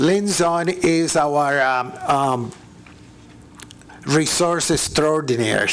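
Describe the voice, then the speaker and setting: There is noticeable background noise behind a man whose pitch is fairly high. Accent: non-native. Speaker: city parks staff member. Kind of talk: public meeting presentation. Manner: halting.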